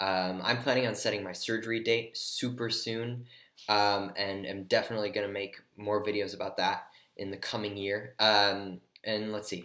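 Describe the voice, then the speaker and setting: In a monotone, flat delivery, a man with a fairly low pitch speaks at a moderate pace with a bright, sharp tone. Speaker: vlogger. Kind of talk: personal vlog. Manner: hesitant, many fillers.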